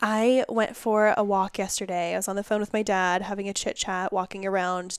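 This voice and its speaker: A loud woman at a medium pitch, with fairly even intonation and a moderate pace, in a very clean recording over a silent background. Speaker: podcast host. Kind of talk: casual chat.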